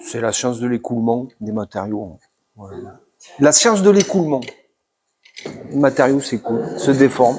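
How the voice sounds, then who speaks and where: A man with a medium pitch speaks at a moderate pace, using lively intonation, big swings in loudness, and long, frequent pauses. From Toulouse, southern France. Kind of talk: explanatory, lecture-like.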